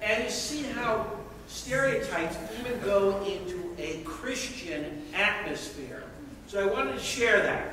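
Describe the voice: The voice is loud and slow, with few pauses and lively intonation. Strong room echo surrounds it. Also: man, high pitch for a man.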